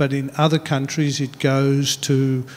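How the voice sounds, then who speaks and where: Speaking in an Australian accent, a man with fairly high pitch keeps a monotone, flat intonation. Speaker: meteorology official. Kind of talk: panel discussion. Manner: halting.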